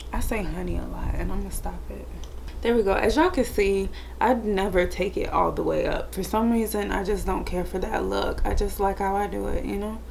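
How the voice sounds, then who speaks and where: A woman speaks quietly at a fairly quick pace, with audible room echo and noticeable background noise. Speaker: beauty youtuber. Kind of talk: makeup tutorial chat. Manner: monotone; quiet and chill.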